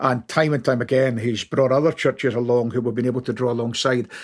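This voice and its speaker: A man's medium-pitched voice with a Scottish accent, in a very clean recording with a silent background. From Scotland, Glasgow. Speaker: ministry training director, former pastor. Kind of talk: casual chat.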